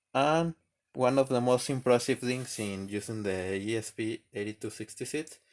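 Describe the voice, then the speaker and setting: On a very clean recording with a silent background, a man with a non-native accent speaks at a fairly slow pace. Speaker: electronics maker. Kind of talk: tutorial. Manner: halting, repeats words.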